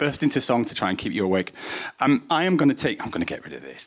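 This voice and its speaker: Speaking at a very fast pace, a man sounds animated. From northern England. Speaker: data analyst, workshop presenter. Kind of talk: presentation to a live audience. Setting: room with audience, microphone.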